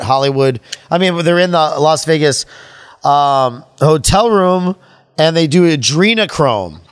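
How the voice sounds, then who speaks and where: The man speaks in a plain, everyday voice that runs fairly high, using ordinary pitch variation. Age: 40s. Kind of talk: casual chat.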